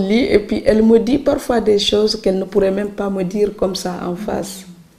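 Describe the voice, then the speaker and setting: A woman speaks at a moderate pace, her medium-pitched voice following a fairly even intonation. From Senegal, Saloum islands village. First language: Serer (speaking French). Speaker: writer. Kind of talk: interview.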